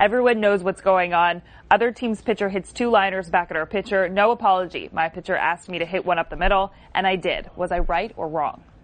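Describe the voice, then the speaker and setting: A woman with a plain, everyday voice talks at a fairly quick pace. Her pitch is medium and her intonation fairly even. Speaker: show producer. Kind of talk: reading headlines aloud.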